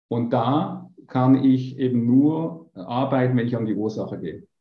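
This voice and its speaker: Ordinary pitch variation in a plain, everyday voice. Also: man. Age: 50s. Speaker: business coach. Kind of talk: interview.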